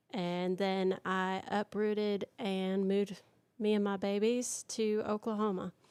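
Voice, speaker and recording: With a Southern accent, a woman speaks slowly-ish at a fairly slow pace and medium pitch, her intonation flat and monotone, in a dry, close sound with no echo. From Michigan, raised in US South. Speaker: country singer. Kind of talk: interview testimony. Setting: live stream interview.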